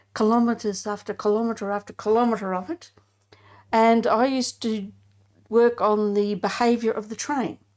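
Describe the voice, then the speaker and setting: A woman speaks in an unremarkable speaking voice, fairly high in pitch, at a moderate pace. Her intonation is fairly even, and the recording is very clean with a silent background. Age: 60s. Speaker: retired mechanical engineer. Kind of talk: interview conversation.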